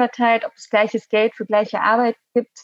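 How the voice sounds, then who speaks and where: Fairly high-pitched, a woman's voice is recorded with a dry, close sound and no echo. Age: 20s. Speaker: Green party parliamentary candidate. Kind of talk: casual interview. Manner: halting, many fillers.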